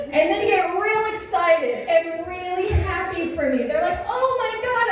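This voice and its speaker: The speech moves at a very slow pace with lively intonation, amid noticeable background noise and audible room echo. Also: woman. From United States. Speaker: student comedian. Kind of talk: stand-up. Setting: stage with audience.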